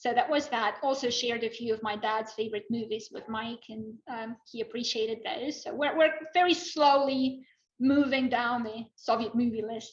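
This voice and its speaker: Big swings in loudness in a Russian accent. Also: woman, fairly high pitch for a woman, ordinary pitch variation, moderate pace. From Russia, Moscow. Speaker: former Russian professional, spy couple guest. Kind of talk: casual chat.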